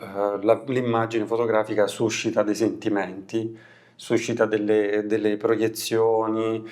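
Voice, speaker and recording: Delivered fairly slowly, the speech holds a flat, monotone intonation. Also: man, medium pitch for a man. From Abruzzo, Italy. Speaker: photographer and filmmaker. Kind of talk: interview answer. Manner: hesitant, searching for words.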